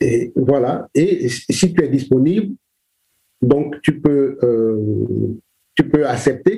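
A man with a fairly high pitch and a somewhat breathy voice talks at a very slow pace with long, frequent pauses. His loudness stays very even, and his pitch varies in an ordinary way. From Cameroon, Douala. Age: 60s. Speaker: children's book illustrator and author. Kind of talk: interview. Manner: halting, many repetitions.

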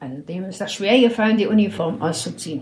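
Her voice carries a somewhat breathy quality. This woman talks at a fairly quick pace. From Berlin. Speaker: elderly woman telling her life story. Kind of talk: life story interview. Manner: halting, with hesitations.

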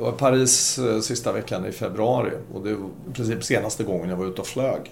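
The speaker sounds somewhat breathy, with ordinary pitch variation at a moderate pace. Room echo is audible. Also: man. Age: 60s. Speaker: shopping-centre property executive, former retailer. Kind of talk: podcast interview.

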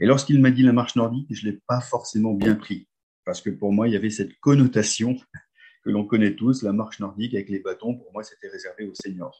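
In a normal speaking voice, the speaker goes at a fairly quick pace with fairly even intonation and big swings in loudness. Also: man, medium pitch for a man. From northern France (Nord, near Lens). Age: 50s. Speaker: nordic walking coach. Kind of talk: guided visualization storytelling.

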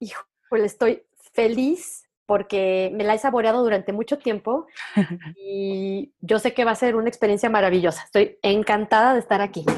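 A woman with a plain voice, an ordinary speaking voice in fact, talks at a moderate pace in a fairly high register with ordinary pitch variation. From Mexico, León, Guanajuato. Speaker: entrepreneur. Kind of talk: casual interview conversation.

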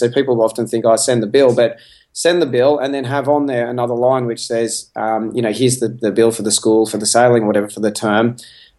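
A man talks at a fairly quick pace in a normal speaking voice. His medium pitch shows ordinary variation. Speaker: podcast guest, entrepreneur. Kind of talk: casual interview chat. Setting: home by the beach, remote call.

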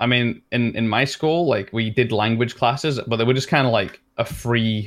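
A man speaks in a strong Leeds accent on a very clean recording with a silent background. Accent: strong Leeds accent, drops letters. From northern England, Leeds. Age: 20s. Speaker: streamer. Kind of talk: casual chat.

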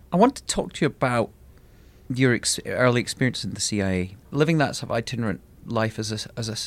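An unremarkable speaking voice comes from a man at a medium pitch with ordinary pitch variation. He talks fairly quickly on a very clean recording with a silent background. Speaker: podcast host. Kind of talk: interview.

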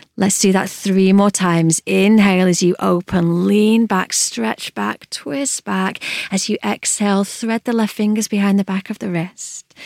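A woman's a plain, everyday voice in a medium pitch with fairly even intonation, in a very clean recording with a silent background and a dry, close sound with no echo. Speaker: yoga instructor. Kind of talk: guided yoga class, calm instructional cueing. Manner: soothing, slow, soft, measured.

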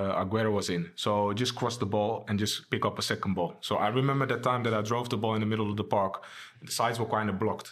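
A man with a Dutch accent, very fast pace and fairly even intonation. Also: fairly low pitch for a man. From Amsterdam, Netherlands. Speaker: former professional footballer. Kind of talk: casual interview.

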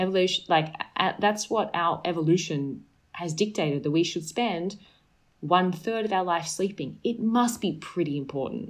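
A woman with an Australian accent speaks at a medium pitch and a moderate pace, with ordinary pitch variation. The recording is very clean, with a silent background. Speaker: sleep and health expert. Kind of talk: casual interview chat.

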